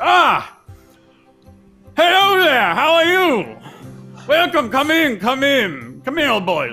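Over faint background music, a man uses a put-on character voice at a very slow pace with long, frequent pauses. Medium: actual play. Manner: hearty, welcoming, rambling.

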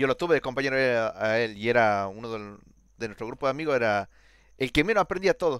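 A man's very fast speech, dry and close with no echo, on a very clean recording against a silent background. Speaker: programming student. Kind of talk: casual chat.

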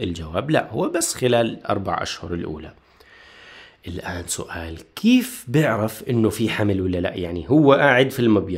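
Somewhat breathy, a man speaks at a moderate pace with a fairly low pitch. His intonation is lively. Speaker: student tutor. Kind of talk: lecture. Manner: animated.

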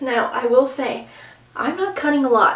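A woman speaks quietly, with audible room echo. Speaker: beauty vlogger. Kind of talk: casual vlog talk. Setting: bathroom. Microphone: phone near.

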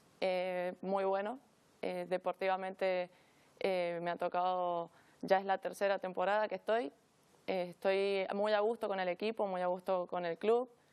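A woman's monotone, flat delivery at a fairly slow pace. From Argentina. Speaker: women's futsal player. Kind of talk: interview. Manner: hesitant, many fillers. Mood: calm, friendly. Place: studio. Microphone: lapel.

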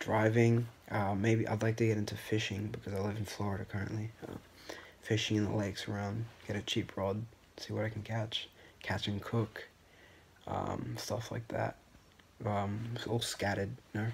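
A man with a fairly low, somewhat breathy voice speaks at a moderate pace in a monotone, flat intonation, taking long, frequent pauses over light background noise. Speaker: first-time vlogger. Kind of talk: casual vlog chat. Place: home room. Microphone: phone near.

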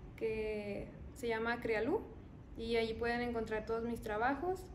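Against light background noise, a woman speaks at a fairly slow pace in a fairly high voice. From Mexico, Zacatecas. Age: 20s. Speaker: young artist and university student. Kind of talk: interview testimony. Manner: hesitant, with fillers. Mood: calm, slightly shy.

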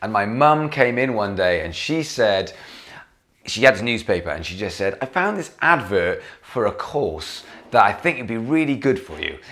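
With a Welsh accent and an animated tone, a man at medium pitch and moderate pace makes very wide pitch swings and big swings in loudness. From Wales. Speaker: vlogger and gigging musician. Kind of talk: casual vlog monologue. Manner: chatty, animated.

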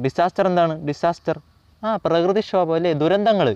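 The sound is dry and close with no echo, over a quiet background. Intonation stays fairly even. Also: man. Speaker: online tutor. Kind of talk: lecture.

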